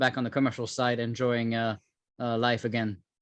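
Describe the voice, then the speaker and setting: A man speaks in a French accent at a medium pitch. The background is quiet. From France. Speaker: cybersecurity entrepreneur, former government official. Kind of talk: interview.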